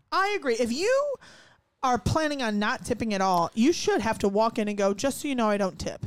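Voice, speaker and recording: A woman talks at a fairly quick pace with lively intonation. Her pitch sits fairly high. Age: 20s. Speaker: podcast host and former restaurant server. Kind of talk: casual chat. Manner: animated.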